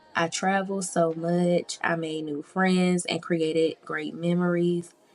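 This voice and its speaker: Noticeable background noise sits behind a woman whose fairly low voice moves at a fairly slow pace in a monotone, flat intonation. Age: 20s. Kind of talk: personal diary voiceover. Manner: reflective, candid.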